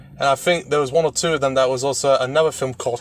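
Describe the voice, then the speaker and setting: A man's medium-pitched voice in a British accent, very fast with fairly even intonation, dry and close with no echo, over noticeable background noise. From Britain. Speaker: podcast guest discussing film ratings. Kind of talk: casual chat.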